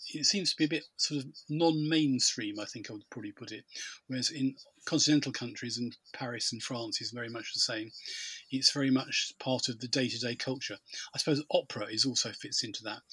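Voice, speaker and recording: Bright and sharp in tone, a man with a British accent speaks at a fairly quick pace and medium pitch with ordinary pitch variation. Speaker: podcast host. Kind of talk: casual chat.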